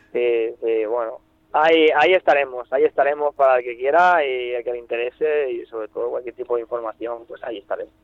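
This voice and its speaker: Delivered at a fairly quick pace, a normal speaking voice shows big swings in loudness and ordinary pitch variation. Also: man, medium pitch for a man. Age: 20s. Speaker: fly rod seller. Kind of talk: casual interview. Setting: phone call.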